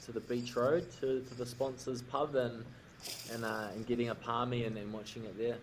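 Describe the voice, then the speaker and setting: A man with a New Zealand accent speaks at a moderate pace in a medium pitch, his intonation monotone and flat. Noticeable background noise and audible room echo fill the recording. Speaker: rugby player. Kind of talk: casual chat.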